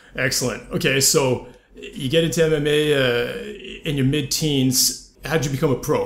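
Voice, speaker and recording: Against noticeable background noise and audible room echo, a man talks fairly quickly at a fairly high pitch with fairly even intonation. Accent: Canadian. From Canada, with ten teen years in France. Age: 30s. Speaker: podcast host. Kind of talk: casual interview chat.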